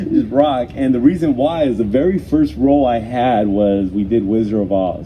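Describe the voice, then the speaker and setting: Noticeable background noise sits behind a man at a moderate pace. His medium-pitched voice has lively intonation. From Mexico, raised in US from childhood. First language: Spanish. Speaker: mayor. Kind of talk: interview. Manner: hesitant, many fillers and repetitions.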